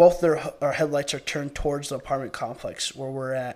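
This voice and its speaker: An ordinary speaking voice in an American accent, fairly even in intonation, on a very clean recording with a silent background. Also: man. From US Midwest. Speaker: podcast guest. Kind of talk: casual chat.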